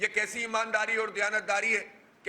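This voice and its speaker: A man raises and projects his voice, pitched high. Noticeable background noise runs underneath. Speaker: provincial head of a political party, press conference speaker. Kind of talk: political press conference speech.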